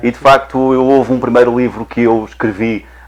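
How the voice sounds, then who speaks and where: A man with a European Portuguese accent over noticeable background noise. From Portugal. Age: 50s. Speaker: HR director and guest. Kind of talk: TV interview.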